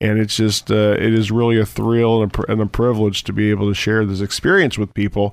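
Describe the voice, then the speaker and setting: On a very clean recording with a silent background, a man with an American accent talks fairly quickly and with hardly any pauses, his fairly low pitch monotone and flat and his loudness very even. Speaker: fitness program participant. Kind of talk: casual chat. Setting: studio.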